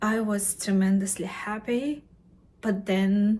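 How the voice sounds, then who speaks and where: A woman with a non-native accent speaks at a very slow pace in a medium pitch, her intonation monotone and flat. Her tone is dark and mellow, and somewhat breathy. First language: not English; English is third language. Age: middle-aged. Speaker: vlogger, mature graduate student. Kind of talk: personal vlog to camera. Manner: halting, with many fillers and self-corrections.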